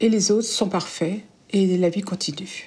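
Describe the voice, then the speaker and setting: A woman's medium-pitched, somewhat breathy voice at a very slow pace, with fairly even intonation. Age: 70s. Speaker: caregiver of spouse with Alzheimer's. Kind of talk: testimony.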